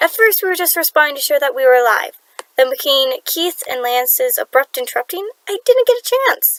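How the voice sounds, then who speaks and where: In a put-on character voice, the speaker talks at a fairly quick pace, sounding shaky with very wide pitch swings, recorded with a dry, close sound and no echo. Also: woman, extremely high pitch for a woman. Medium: read story. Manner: timid, shaky.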